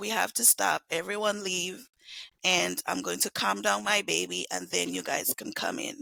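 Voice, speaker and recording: At a moderate pace, a put-on character voice comes out raspy. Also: man, high pitch for a man. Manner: very firm, commanding.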